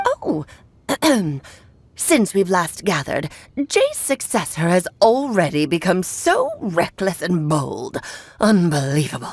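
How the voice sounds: A woman puts on a character voice at a medium pitch. She talks at a fairly slow pace with long, frequent pauses.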